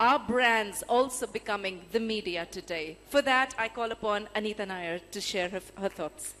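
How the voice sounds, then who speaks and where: In an Indian accent, the speaker keeps a moderate pace with ordinary pitch variation and hardly any pauses. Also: woman, fairly high pitch for a woman. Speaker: event host. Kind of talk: onstage interview. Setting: stage with audience.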